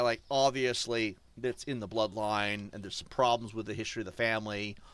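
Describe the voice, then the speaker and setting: A man with an American accent talks at a fairly quick pace in a bright, sharp tone. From US, New Hampshire. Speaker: gaming streamer. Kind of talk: live stream commentary. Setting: live stream. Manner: casual, rambling with fillers.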